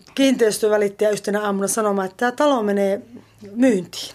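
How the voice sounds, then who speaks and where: This is a woman with an ordinary speaking voice. Her pitch is fairly high, with ordinary pitch variation. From eastern Finland. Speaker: drama instructor and poet. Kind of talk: casual interview. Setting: at home, partly outdoors in garden.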